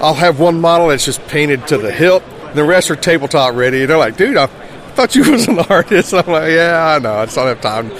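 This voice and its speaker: A man with an American accent talks at a fairly quick pace, with lively intonation and hardly any pauses. His pitch sits fairly high, and there is noticeable background noise. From South Carolina. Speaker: fantasy card illustrator. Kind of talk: interview. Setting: convention floor.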